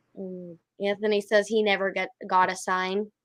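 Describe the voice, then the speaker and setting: A woman speaks in a raised, projected voice with an animated tone. Her tone is bright and sharp over a quiet background. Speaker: podcast host. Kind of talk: casual chat. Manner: loud.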